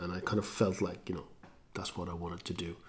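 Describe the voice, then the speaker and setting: Audible room echo surrounds a man speaking with a non-native accent. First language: not English. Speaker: singer-songwriter vlogger. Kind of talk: casual vlog talk. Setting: garage.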